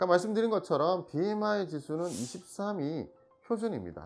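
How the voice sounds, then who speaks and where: A Busan accent over music playing in the background. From Busan, South Korea. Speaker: Korean medicine doctor. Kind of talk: health explainer talk to camera.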